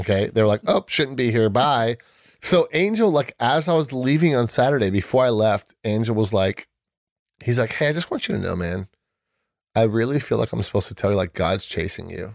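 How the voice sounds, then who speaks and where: A man with an American accent talks at a fairly quick pace in a medium pitch, using a plain, everyday voice and lively intonation. The recording is very clean, with a silent background. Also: dry, close sound with no echo. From US West Coast, San Diego (South Bay). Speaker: podcast guest sharing faith story. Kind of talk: casual chat, personal testimony.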